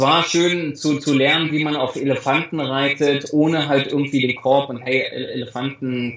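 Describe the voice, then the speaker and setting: A man speaks at a moderate pace in a fairly high pitch, his intonation monotone and flat. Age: 30s. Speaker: travel blogger and influencer. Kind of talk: interview. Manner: halting, many repeated words.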